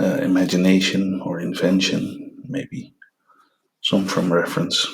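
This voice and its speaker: The voice is quiet and the pace very slow. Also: man. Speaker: artist demonstrating sketching. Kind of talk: tutorial. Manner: hushed, quiet voice; halting, many fillers.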